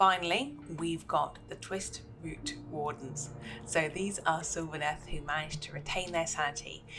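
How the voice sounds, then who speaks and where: Over music in the background and audible room echo, the speech comes at a moderate pace with fairly even intonation. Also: woman, very deep, low pitch for a woman. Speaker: tabletop gaming youtuber. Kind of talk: unboxing and lore talk. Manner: rambling, chatty.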